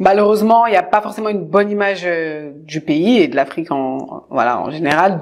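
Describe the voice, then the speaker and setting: At a very fast pace, a woman speaks in an animated tone with lively intonation and long, frequent pauses. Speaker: interview show host. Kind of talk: interview. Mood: warm, encouraging. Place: home room.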